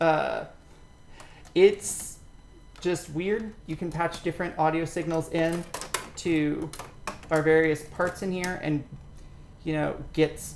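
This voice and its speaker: Delivered at a very slow pace, the speech is broken by long, frequent pauses. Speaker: modular synth artist. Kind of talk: tutorial.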